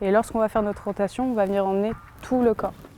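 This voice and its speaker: A woman with fairly even intonation over noticeable background noise. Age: 20s. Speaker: sport shooter. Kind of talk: explanatory interview.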